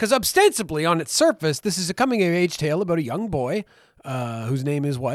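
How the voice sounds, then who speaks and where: Using an ordinary speaking voice, a man talks at a fairly quick pace with lively intonation in a dry, close sound with no echo. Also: fairly high pitch for a man. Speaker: podcast co-host. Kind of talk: casual chat.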